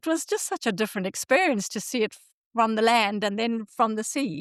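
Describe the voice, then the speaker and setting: Recorded dry and close with no echo against a quiet background, a woman talks at a fairly quick pace with lively intonation and a fairly high pitch. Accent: Zimbabwean. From Zimbabwe. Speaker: podcast host. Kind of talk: casual chat.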